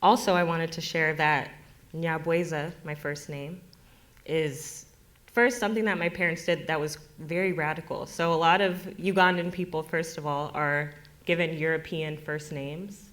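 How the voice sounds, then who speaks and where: A woman with an American accent speaks in a plain, everyday voice at a fairly low pitch, a moderate pace and with fairly even intonation. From US, Denver area. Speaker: farmer and storyteller. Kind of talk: personal storytelling at community event.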